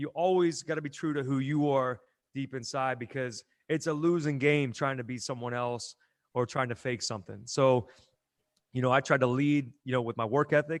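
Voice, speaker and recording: At a moderate pace and with fairly even intonation, a normal speaking voice with an American accent comes through against a quiet background. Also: man, medium pitch for a man. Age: 40s. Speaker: gym owner and strength coach. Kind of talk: casual interview chat.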